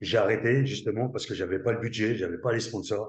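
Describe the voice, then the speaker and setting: Somewhat breathy, a man speaks at medium pitch. His pace is fairly quick and his intonation fairly even. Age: 60s. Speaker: former army commando, network marketer. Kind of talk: interview. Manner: halting.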